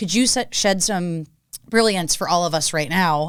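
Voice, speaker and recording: A woman with an American accent speaks at a fairly low pitch on a very clean recording with a silent background. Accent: Boston, comes out more with drinking. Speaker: podcast host. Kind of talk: casual interview chat. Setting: studio table, drinking beer on show.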